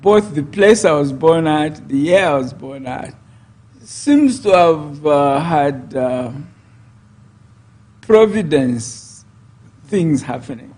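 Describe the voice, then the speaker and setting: Delivery is very slow, with lively intonation, big swings in loudness, and long, frequent pauses. Noticeable background noise and audible room echo fill the recording. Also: man, fairly high pitch for a man. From Zambia. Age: 70s. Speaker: politician. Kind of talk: interview.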